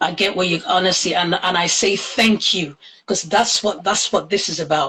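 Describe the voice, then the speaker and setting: An unremarkable speaking voice belongs to a woman of medium pitch. She keeps a moderate pace and fairly even intonation. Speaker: podcast host. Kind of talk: interview questions, casual talk.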